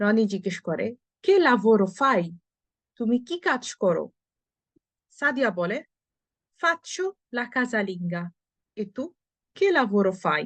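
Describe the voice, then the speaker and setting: Somewhat breathy speech with very wide pitch swings, in a dry, close sound with no echo over a quiet background. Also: woman. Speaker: Italian language teacher. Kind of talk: language lesson reading dialogue aloud.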